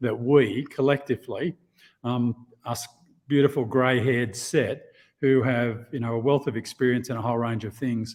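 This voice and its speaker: A man with a slight Australian accent speaks at a moderate pace and medium pitch, his intonation fairly even. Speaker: insurance executive. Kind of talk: podcast interview. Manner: halting, with many repetitions.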